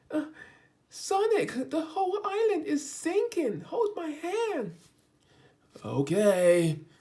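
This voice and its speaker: A put-on character voice speaks at a high pitch and a very slow pace. Long pauses come often. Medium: read story.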